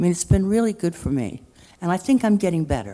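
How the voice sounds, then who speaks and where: Lively intonation marks this woman's dark, mellow voice. She speaks at a fairly low pitch and a moderate pace. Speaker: senior resident artist. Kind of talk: panel talk. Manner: halting.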